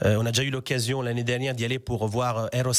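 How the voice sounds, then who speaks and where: A man with an Italian accent at a very fast pace. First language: Italian (speaking French). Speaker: language teacher. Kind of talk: radio interview.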